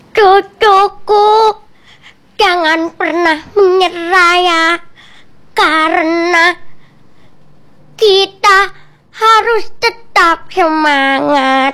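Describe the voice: A woman's put-on character voice at an extremely high pitch, very slow pace, with long, frequent pauses.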